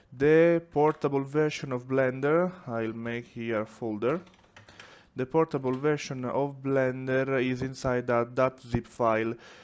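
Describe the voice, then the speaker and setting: Against noticeable background noise, a man at a medium pitch speaks at a fairly slow pace with fairly even intonation. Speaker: 3D printing maker, tutorial creator. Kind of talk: software tutorial. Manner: careful, deliberate.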